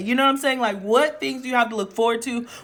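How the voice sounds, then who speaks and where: A woman speaks loudly. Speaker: tarot reader. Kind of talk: tarot reading to camera. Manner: projecting, theatrical.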